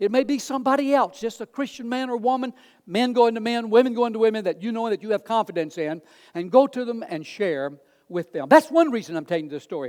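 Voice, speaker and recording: This man talks at a fairly quick clip, his pitch high and swinging very widely. The sound is dry and close with no echo, in a very clean recording over a silent background. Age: 70s. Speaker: pastor. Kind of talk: sermon.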